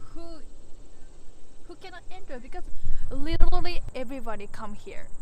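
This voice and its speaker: A woman speaks at a moderate pace with an extremely high pitch and very wide pitch swings. Noticeable background noise sits behind her. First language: Japanese. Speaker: urban explorer vlogger. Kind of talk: casual vlog walkthrough. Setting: outdoors. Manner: animated. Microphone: bad audio.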